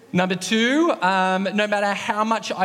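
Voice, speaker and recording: A man with an Australian accent is heard with audible room echo and noticeable background noise. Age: 30s. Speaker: associate pastor. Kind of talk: sermon. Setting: church.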